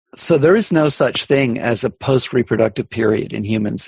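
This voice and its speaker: A man speaks in a normal speaking voice at medium pitch and a moderate pace, with lively intonation. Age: 60s. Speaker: evolutionary biology professor. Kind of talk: interview.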